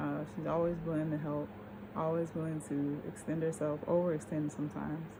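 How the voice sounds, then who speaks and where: A woman with a very deep, low pitch and a dark, mellow tone speaks in a monotone, flat way at a fairly quick pace, somewhat breathy, with audible room echo. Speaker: vlogger. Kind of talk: casual monologue vlog. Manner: slurred speech from tiredness; halting, stammering.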